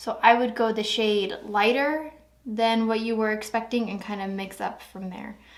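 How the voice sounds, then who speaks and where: There is audible room echo as a woman speaks at a moderate pace, her fairly high pitch held in fairly even intonation. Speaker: beauty vlogger. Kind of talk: casual review talk to camera. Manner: hesitant, filler-heavy.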